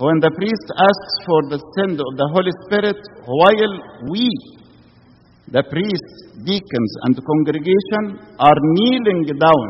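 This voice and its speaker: Lively intonation carries this fairly slow delivery, heard over noticeable background noise. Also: man. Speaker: Coptic priest or preacher. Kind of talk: sermon.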